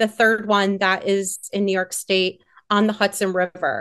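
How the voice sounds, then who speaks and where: A woman talks with an American accent. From Pittsburgh, Pennsylvania. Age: 40s. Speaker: cannabis retreat founder. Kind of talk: interview.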